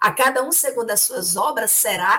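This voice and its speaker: A woman's high-pitched voice rises and falls in very wide pitch swings. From Ceará, Brazil. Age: 50s. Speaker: spiritist speaker. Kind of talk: religious study discussion. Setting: live-streamed video study.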